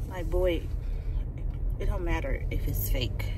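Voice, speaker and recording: Noticeable background noise runs under a woman's voice. She speaks at a moderate pace, and the sound is dry with no echo. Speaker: vlogger. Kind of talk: casual vlog chat. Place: car. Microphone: phone near.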